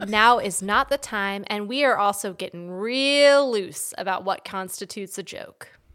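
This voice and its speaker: A woman with an American accent speaks at a fairly slow pace in a normal speaking voice, medium in pitch with ordinary pitch variation, hardly any pauses and big swings in loudness, on a very clean recording with a silent background. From Washington DC area, US. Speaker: podcast host. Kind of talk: casual comedic chat.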